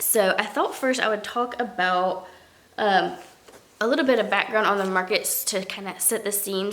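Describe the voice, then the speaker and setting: A woman talks at a medium pitch with ordinary pitch variation amid audible room echo. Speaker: crochet vlogger and craft market seller. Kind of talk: casual vlog recap. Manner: casual, many fillers and restarts.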